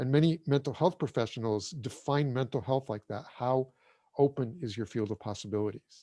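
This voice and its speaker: Dark, mellow tone at a fairly quick pace with ordinary pitch variation, dry and close with no echo, on a very clean recording with a silent background. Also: man. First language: German. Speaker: breathwork teacher. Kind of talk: interview. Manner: casual.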